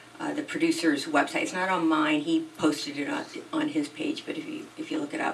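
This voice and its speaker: With noticeable background noise behind her, a woman speaks at a moderate pace, her pitch swinging very widely. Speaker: singer-songwriter. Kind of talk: interview. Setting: podcast studio.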